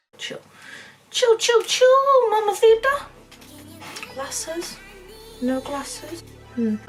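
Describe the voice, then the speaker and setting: With a Northern English accent, a woman speaks at an extremely high pitch with very wide pitch swings, a very slow pace and long, frequent pauses while music plays in the background. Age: 20s.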